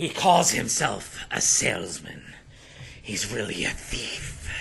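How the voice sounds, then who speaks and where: A raspy, put-on character voice swings very widely in pitch. The pace is fairly slow. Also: man, medium pitch for a man. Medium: actual play. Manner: intense, suspicious.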